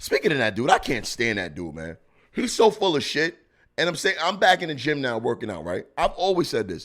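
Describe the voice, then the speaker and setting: In a very clean recording with a silent background, this man speaks. He keeps up a fairly quick pace. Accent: New York. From Brooklyn, New York. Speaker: comedian podcast host. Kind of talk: casual commentary. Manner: animated.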